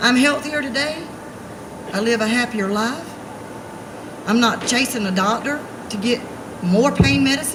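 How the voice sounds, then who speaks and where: Over noticeable background noise and audible room echo, a woman with a high pitch and lively intonation talks at a moderate pace, pausing long and often. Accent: Alabama. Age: 40s. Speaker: activist. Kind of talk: rally speech. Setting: outdoors. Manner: animated.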